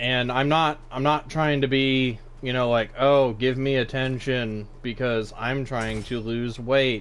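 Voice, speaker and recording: A man's medium-pitched voice at a very slow pace, hardly any pauses, and audible room echo. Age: 20s. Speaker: gaming streamer. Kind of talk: live gameplay commentary. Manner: animated.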